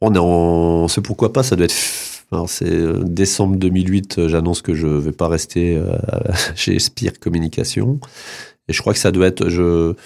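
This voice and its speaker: Very deep and low, a man's dark, mellow voice moves at a fairly slow pace with long, frequent pauses. His pitch varies in an ordinary way, and his loudness stays very even. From Lorraine, northeastern France (Nancy, then Vosges). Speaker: magazine publisher. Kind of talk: radio interview. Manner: halting, many hesitations.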